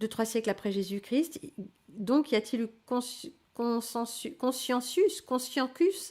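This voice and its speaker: In a very clean recording with a silent background, a woman talks very slowly in a high pitch with lively intonation. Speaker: livestream host teaching spirituality. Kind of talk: live stream reading and answering chat. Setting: live stream. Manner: hesitant, many fillers.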